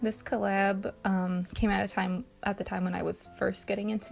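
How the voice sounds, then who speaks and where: This woman has a medium pitch and a somewhat breathy voice. She speaks at a moderate pace with fairly even intonation. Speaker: art channel creator. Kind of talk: art process voiceover. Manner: hesitant, many filler words.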